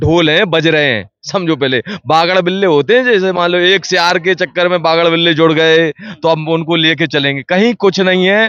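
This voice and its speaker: In an animated tone, a man with a high pitch and ordinary pitch variation talks with hardly any pauses and very even loudness. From Madhya Pradesh, Datia district. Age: young. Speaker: local politician. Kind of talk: street interview. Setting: party office, on location.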